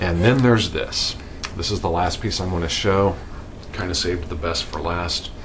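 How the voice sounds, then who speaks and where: Quiet and at a moderate pace, a man talks with ordinary pitch variation amid audible room echo and noticeable background noise. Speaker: record collector vlogger. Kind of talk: casual video update. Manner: quiet, low; animated.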